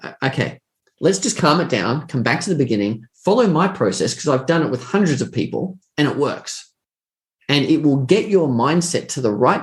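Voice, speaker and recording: A man with an Australian accent speaks at a fairly high pitch with lively intonation. His delivery is somewhat breathy and moves at a moderate pace. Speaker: trading educator. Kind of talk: interview answers.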